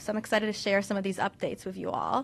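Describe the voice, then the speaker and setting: Against a quiet background, a woman speaks with a Russian accent. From US, Russian-speaking immigrant household. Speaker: oncologist. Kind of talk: lecture.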